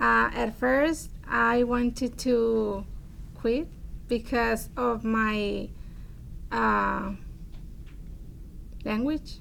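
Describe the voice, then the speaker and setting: In a Spanish accent, a woman speaks at a very slow pace with very even loudness and long, frequent pauses. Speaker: adult education student. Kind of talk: testimony. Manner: halting.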